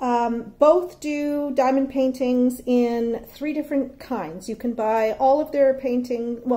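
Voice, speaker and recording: A woman's high-pitched voice, dark and mellow in tone, at a very slow pace. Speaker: hobby unboxing vlogger. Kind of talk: casual vlog chat. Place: home room. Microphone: phone near.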